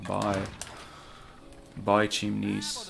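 A man drags out his words very slowly, and clear music can be heard behind him. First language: not English. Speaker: video game speedrunner streamer. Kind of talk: live gameplay commentary. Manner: casual, profane. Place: home room.

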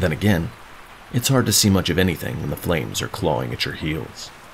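The pitch swings very widely at a fairly quick pace. Noticeable background noise is present. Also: man. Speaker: author reading own novel. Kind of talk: epic fantasy audiobook reading.

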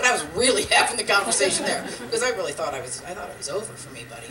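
A woman speaks over noticeable background noise. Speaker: stand-up comedian. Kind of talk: stand-up comedy routine. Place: stage.

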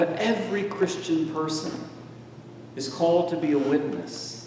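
With an American accent, a man speaks at a fairly slow pace in a fairly high voice with ordinary pitch variation. Light background noise and audible room echo come through. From United States. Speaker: preacher. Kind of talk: sermon. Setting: church. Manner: animated, personal storytelling. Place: church.

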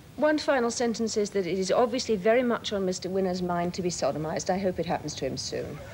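A woman with a British accent at a very fast pace, with hardly any pauses and lively intonation, over light background noise. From England. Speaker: journalist and broadcaster. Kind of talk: heated argument on a TV panel, cutting rebuttals. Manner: icily condescending, crisp and emphatic. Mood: combative, scornful. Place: studio.

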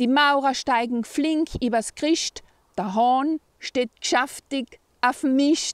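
A woman with an East Tyrolean accent speaks at a very slow pace and a high pitch, with ordinary pitch variation and very even loudness, in a dry sound with no echo against a quiet background. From East Tyrol, Austria. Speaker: poem reciter. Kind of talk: dialect poetry reading. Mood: cheerful, warm. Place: open country. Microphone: phone near.

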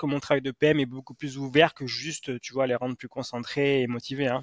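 Fairly slow male speech with fairly even intonation, a dry sound with no echo and a quiet background. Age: 40s. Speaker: sports psychologist and author; guest. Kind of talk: interview. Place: home room. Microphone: headset.

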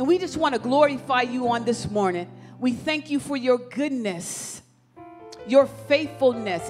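A woman is speaking. Clear music plays behind her. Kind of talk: prayer. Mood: fervent, reverent. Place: church. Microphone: handheld.

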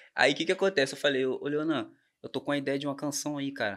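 A man is speaking. His pace is very fast. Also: quiet background. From Brazil, Volta Redonda (Rio de Janeiro state); Rio de Janeiro state, Brazil. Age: 20s. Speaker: songwriter; podcast guest. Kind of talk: casual chat. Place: studio. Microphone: studio mic.

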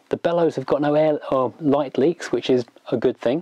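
The sound is dry with no echo. A man talks at a moderate pace. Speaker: camera reviewer. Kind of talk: tutorial. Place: home room. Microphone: lapel.

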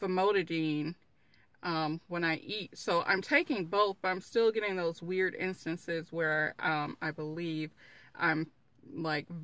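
At a very slow pace, a woman speaks in a bright, sharp tone with a dry sound and no echo. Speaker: vlogger. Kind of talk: casual vlog chat. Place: car. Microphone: phone near.

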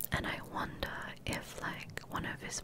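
Someone whispers at a very slow pace. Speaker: Twitch streamer. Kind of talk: ASMR whisper rambling stream, casual talk to camera. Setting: livestream with handcam ASMR microphone. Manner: whispered, soft-spoken. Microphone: studio mic.

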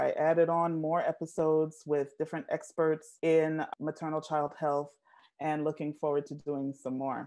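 This woman's pitch is very deep and low. She talks at a moderate pace. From Jamaica. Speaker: nurse and maternal health advocate. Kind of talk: interview answer. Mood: warm, engaged. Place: home room. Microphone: earbuds.

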